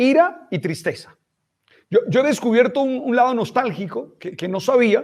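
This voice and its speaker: Extremely high-pitched, a man speaks at a very slow pace with very wide pitch swings. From Colombian Caribbean, Santa Marta. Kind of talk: casual interview chat. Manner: halting, repeats words.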